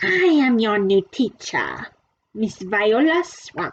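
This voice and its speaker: A woman puts on a hissing character voice, pitched fairly high with very wide pitch swings. She speaks at a very slow pace. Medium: read story. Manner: snappish, commanding.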